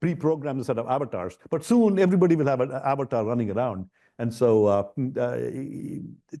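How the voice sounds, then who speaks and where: A man's dark, mellow voice at medium pitch, fairly quick, with very wide pitch swings, over a quiet background. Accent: Indian. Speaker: ed-tech founder and professor. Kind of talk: fireside chat interview. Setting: stage with live and online audience. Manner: animated, many repetitions and fillers.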